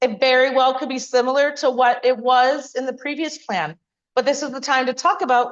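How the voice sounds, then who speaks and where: Loud and high-pitched, a woman speaks over music in the background. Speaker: community planner. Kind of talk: public meeting presentation. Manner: fast.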